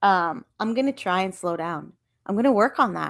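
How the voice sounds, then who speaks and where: A plain, everyday voice from a woman with a Canadian accent, medium in pitch, with ordinary pitch variation, on a very clean recording with a silent background. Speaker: podcast host, reseller. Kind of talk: casual solo podcast.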